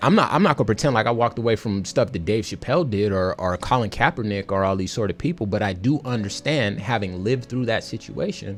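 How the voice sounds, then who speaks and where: A man at a medium pitch, talking at a very fast pace with lively intonation, music in the background. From US West Coast, Compton, California. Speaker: radio DJ. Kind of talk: casual chat.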